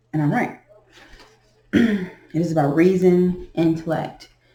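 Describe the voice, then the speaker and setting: Audible room echo surrounds a woman speaking in a fairly low pitch with fairly even intonation. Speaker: beginner tarot reader. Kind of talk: tarot reading. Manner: slow.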